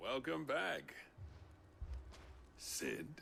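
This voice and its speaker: Putting on a raspy character voice, a man speaks over clear background noise. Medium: video game. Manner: dry, bitter.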